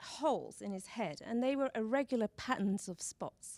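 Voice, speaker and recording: A woman with a British accent at a moderate pace, in a dry, close sound with no echo. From Britain. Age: 40s. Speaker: speaker at a talk event. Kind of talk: public talk. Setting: stage with audience. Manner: shaky.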